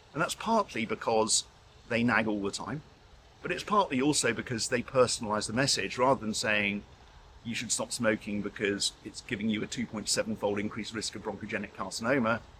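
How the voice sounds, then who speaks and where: A man speaks with a British accent at a fairly quick pace. His pitch sits fairly low. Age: 60s. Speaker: intensive care doctor and professor. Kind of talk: interview.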